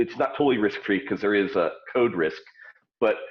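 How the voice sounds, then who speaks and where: The speaker is a man with a medium-pitched voice. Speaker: startup founder. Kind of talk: interview. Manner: loud.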